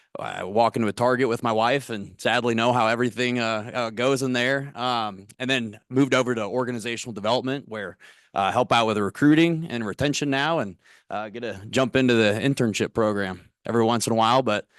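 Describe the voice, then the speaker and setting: Against a quiet background, a man with a Missouri accent speaks at a fairly quick pace. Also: medium pitch for a man, fairly even intonation. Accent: Missouri rural twang. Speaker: corporate recruiter. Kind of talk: career workshop talk.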